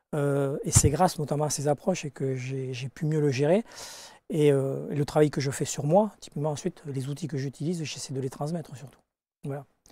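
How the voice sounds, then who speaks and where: At a moderate pace, a somewhat breathy voice with a dark, mellow tone and ordinary pitch variation comes through dry, with no echo. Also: man, fairly high pitch for a man. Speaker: life coach and hypnosis teacher; life coach, hypnosis teacher. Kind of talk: interview. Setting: studio. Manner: direct, outspoken. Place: studio. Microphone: lapel.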